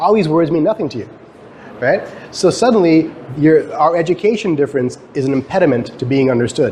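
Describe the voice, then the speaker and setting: A man's fairly high voice with a Canadian accent, fairly quick in pace, with ordinary pitch variation and noticeable background noise. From Guyana. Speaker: professor. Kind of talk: lecture. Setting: stage with audience. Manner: fast; halting.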